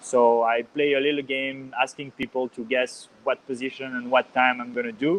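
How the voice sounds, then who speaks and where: A medium-pitched man's voice in a Swiss French accent, at a moderate pace with monotone, flat intonation and hardly any pauses. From Geneva, Switzerland. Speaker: ice cross athlete. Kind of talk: podcast interview. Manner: halting, many fillers and repetitions.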